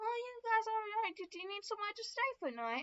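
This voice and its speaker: This female-sounding voice is a put-on character voice at an extremely high pitch. It moves at a fairly quick pace. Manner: friendly, welcoming.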